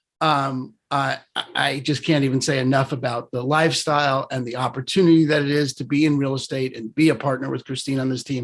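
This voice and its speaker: Speaking in a New York accent, a man with a medium-pitched voice keeps a flat monotone. His pace is fairly quick. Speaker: real estate broker. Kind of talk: casual presentation. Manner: fast.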